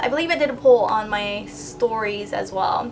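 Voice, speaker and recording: A woman's voice with noticeable background noise. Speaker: beauty youtuber. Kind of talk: tutorial. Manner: casual, chatty.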